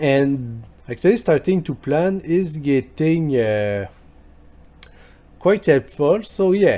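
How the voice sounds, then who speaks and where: Speaking very slowly with long, frequent pauses, a man with a French accent uses a fairly high pitch and lively intonation. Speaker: history youtuber. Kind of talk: video commentary reply. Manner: halting, with fillers.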